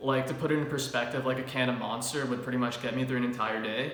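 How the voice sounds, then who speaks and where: Over noticeable background noise and audible room echo, a man with a medium-pitched voice talks very fast in a flat, monotone delivery. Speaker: fitness youtuber. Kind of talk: product review chat. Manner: casual, many filler words.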